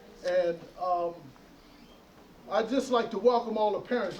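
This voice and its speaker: There is noticeable background noise. A man speaks in a high pitch with ordinary pitch variation. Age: 70s. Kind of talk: graduation speech. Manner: halting.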